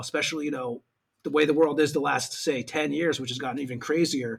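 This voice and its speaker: A man with an ordinary speaking voice talks at a fairly quick pace, with a fairly high pitch and fairly even intonation. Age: 40s. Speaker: podcast host. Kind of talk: casual interview.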